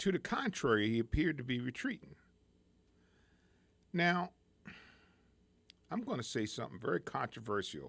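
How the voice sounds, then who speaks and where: A man speaks with an American accent at a medium pitch, with vocal fry. His delivery has very wide pitch swings and long, frequent pauses. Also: moderate pace. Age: 60s. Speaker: radio talk show host. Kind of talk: radio talk show monologue. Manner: halting, many repetitions and fillers.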